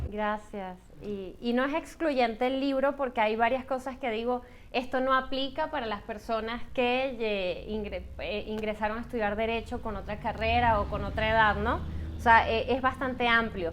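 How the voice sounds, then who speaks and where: A woman with a Venezuelan accent, a fairly high pitch and fairly even intonation, at a moderate pace. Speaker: book author. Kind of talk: book presentation Q&A.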